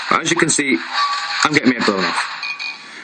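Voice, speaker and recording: A man's speech moves at a moderate pace while noticeable background noise carries on around it. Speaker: gaming youtuber. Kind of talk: video review and gameplay demo. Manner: halting, stumbling over words.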